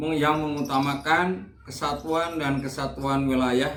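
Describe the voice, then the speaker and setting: Audible room echo surrounds a man's voice. He speaks very slowly at a fairly high pitch with fairly even intonation. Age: 60s. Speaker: retired school principal. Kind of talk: interview answers. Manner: hesitant, filler-heavy.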